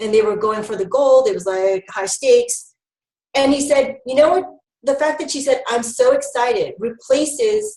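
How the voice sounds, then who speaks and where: This woman's high voice takes very wide pitch swings as she talks at a moderate pace. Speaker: health educator presenter. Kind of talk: webinar presentation. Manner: animated.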